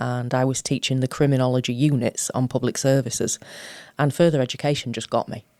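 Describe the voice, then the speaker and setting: Very fast and in a Sheffield accent, a woman with a very deep, low pitch speaks in monotone, flat intonation, the sound dry and close with no echo. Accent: broad Sheffield. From South Yorkshire, England (Sheffield). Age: 50s. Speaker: college principal and chief executive. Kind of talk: interview. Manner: informal, chatty.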